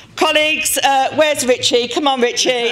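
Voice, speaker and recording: Against crowd noise in the background, the speaker talks at a fairly slow pace. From Birmingham, England. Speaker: union official. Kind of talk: speech. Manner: halting.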